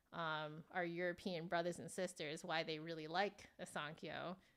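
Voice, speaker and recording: Using a San Francisco Bay Area accent, a woman speaks at a fairly slow pace. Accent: American, San Francisco Bay Area. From US, San Francisco Bay Area. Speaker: flutist and instrument reviewer. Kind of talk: live stream review. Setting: live stream. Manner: casual, filler-heavy.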